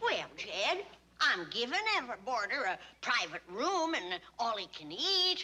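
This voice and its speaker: Using a put-on character voice, a woman speaks at a high pitch with very wide pitch swings. Her pace is fairly slow. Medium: short film. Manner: bossy, sharp-tongued.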